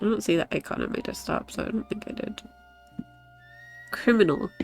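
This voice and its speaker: Over background music, a woman speaks at a moderate pace with a fairly high pitch. She leaves long, frequent pauses. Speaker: streamer. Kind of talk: casual talk to stream.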